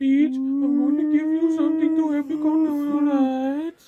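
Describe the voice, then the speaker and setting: A woman uses a put-on character voice with a high pitch, monotone, flat intonation, very even loudness and a moderate pace. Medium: audio drama. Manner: gentle, reassuring.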